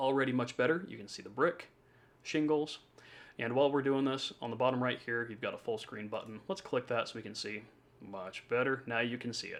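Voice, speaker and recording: Speaking at a fairly quick pace, a man uses a medium pitch with ordinary pitch variation and big swings in loudness. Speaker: home design drafter. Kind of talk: tutorial. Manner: fast.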